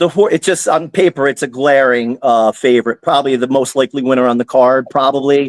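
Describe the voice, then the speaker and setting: This man has a fairly high voice and an American accent. He speaks at a fairly quick pace. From New Jersey. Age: 50s. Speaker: horse racing handicapper. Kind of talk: casual podcast chat. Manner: halting, many restarts and fillers; energetic.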